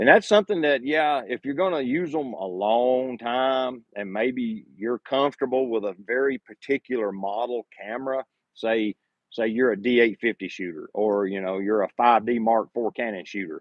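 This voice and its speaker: A man with a Southern US accent, medium pitch and ordinary pitch variation. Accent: southern drawl. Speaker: photography YouTuber. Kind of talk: live stream Q&A. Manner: casual, conversational.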